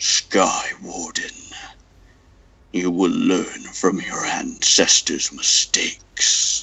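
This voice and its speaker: A put-on character voice from a man, delivered at a very slow pace. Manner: ominous, commanding.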